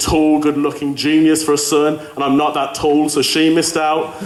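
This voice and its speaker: Over noticeable background noise and audible room echo, a man speaks with a fairly high pitch. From Birmingham, England. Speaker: student comedian. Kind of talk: stand-up. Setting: stage with audience.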